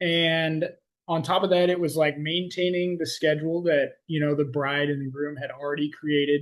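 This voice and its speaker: Monotone, flat intonation marks a man speaking with an American accent. His pitch is fairly high and his pace moderate. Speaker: podcast host and coach. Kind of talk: casual podcast chat. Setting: video call. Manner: high energy.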